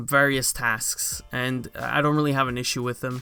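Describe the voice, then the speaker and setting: This man's tone is bright and sharp, and his pace is moderate. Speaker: gaming YouTuber. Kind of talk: video game rant commentary. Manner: monotone.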